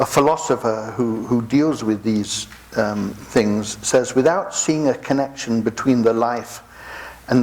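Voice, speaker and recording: Over noticeable background noise, a man with an English accent speaks at a fairly slow pace, medium in pitch with ordinary pitch variation. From England. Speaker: pastor. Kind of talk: sermon.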